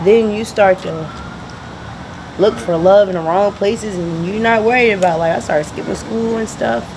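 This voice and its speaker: Over noticeable background noise and audible room echo, a woman talks with an American accent. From US Mid-Atlantic (Harrisburg PA, Baltimore from teens). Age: 20s. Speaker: person in addiction, interviewee. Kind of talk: interview / testimony. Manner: casual, rambling with fillers.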